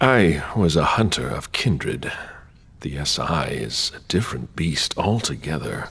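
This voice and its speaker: Using a put-on character voice, a man speaks at a moderate pace with very deep, low pitch. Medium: video game.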